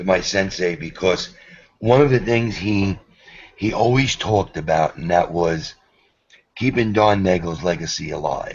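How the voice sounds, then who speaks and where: A New York accent at a moderate pace, with long, frequent pauses and ordinary pitch variation. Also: man, very deep, low pitch for a man. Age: 50s. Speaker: karate instructor. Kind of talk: video call chat.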